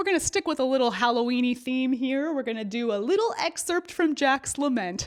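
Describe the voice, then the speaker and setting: With an American accent and a high pitch, a woman speaks at a fairly quick pace with very wide pitch swings over noticeable background noise. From United States. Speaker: opera singer and speech coach. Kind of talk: educational video essay. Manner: animated; casual.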